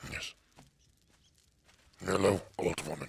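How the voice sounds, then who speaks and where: A man doing a put-on character voice at a very deep, low pitch. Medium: game stream. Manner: terse, short sentences.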